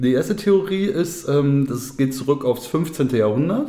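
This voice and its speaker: A man at a very slow pace with ordinary pitch variation, under noticeable background noise. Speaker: podcast co-host. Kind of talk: casual chat. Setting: home studio.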